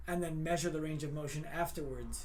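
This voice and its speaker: A man's voice with audible room echo. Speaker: chiropractor. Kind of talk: casual Q&A on Instagram live. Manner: loud.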